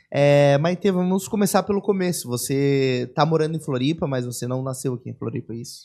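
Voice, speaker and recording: Here is a man with a normal speaking voice and a fairly high pitch. He goes at a fairly quick pace with hardly any pauses and ordinary pitch variation. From São Paulo, Brazil. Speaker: podcast host. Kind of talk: casual interview. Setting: studio.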